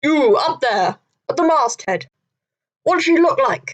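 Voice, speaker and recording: A put-on character voice shouts at a high pitch. Its pitch swings very widely. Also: moderate pace. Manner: commanding, shouted.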